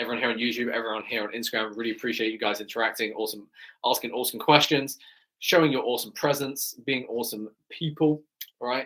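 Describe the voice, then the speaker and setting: A man's medium-pitched voice, bright and sharp in tone, at a very fast pace. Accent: British. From England. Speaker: fitness coach and YouTuber. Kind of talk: live stream Q&A chat. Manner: animated.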